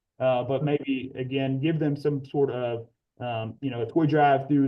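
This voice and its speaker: This man speaks at a medium pitch with monotone, flat intonation. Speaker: agriculture teacher. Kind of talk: presentation in online meeting. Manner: fast.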